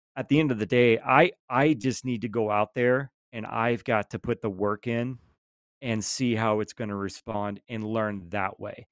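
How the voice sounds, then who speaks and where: Recorded very cleanly against a silent background, with a dry, close sound and no echo, a man talks at a fairly slow pace in a medium pitch with fairly even intonation. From Georgia. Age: 30s. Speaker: lawn care content creator. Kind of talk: casual chat.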